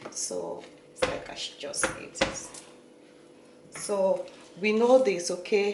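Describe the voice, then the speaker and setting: In a Nigerian accent, a woman speaks at a medium pitch and fairly slow pace, with audible room echo and noticeable background noise. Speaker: beauty vlogger and healthcare worker. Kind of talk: tutorial.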